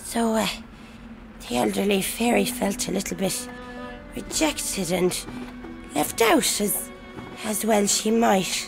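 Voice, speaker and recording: Clear music plays in the background as a woman uses a cartoonish character voice. She speaks at a fairly slow pace with a medium pitch. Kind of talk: read story. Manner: sweet turning angry.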